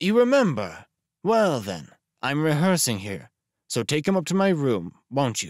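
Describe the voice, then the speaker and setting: A shrill put-on character voice moves at a moderate pace. Its pitch swings very widely. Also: man, fairly high pitch for a man. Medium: read story. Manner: overly familiar, affected, calculating.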